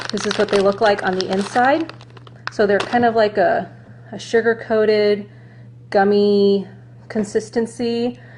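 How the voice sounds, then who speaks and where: A woman's medium-pitched voice at a fairly slow pace, with ordinary pitch variation, long, frequent pauses and noticeable background noise. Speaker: runner reviewing gear. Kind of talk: product review vlog. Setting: Facebook Live video. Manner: casual, chatty.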